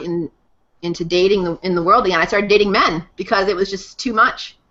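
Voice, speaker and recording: In an American accent, a woman with a normal speaking voice talks at a moderate pace, fairly low in pitch, with fairly even intonation. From Massachusetts. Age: 30s. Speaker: guest speaker on integral theory. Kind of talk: personal testimony.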